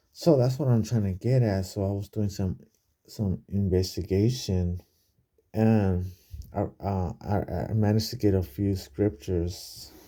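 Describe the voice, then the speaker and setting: Quietly and at a fairly slow pace, a man talks in a fairly low, dark and mellow voice with ordinary pitch variation. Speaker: bible study vlogger. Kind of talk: casual bible study talk. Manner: speaking quietly; halting, many fillers.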